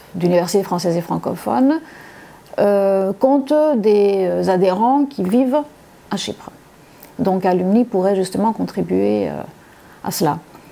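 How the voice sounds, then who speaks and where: At a fairly slow pace, a woman speaks with long, frequent pauses. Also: medium pitch for a woman, lively intonation. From Congo (Likasi) until 12, then Cyprus. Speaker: university lecturer. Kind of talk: testimony. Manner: halting, many hesitations.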